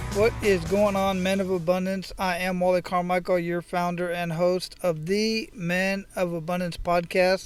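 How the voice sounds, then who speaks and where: A man speaks at a fairly slow pace with hardly any pauses, his high voice monotone and flat. Music plays in the background. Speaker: podcast host. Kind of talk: podcast intro monologue. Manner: casual.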